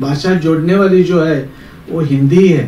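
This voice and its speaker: With a Goan accent, a man talks in a fairly high voice and fairly even intonation, with noticeable background noise and audible room echo. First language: Konkani (speaking Marathi). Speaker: speaker at event. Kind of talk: speech.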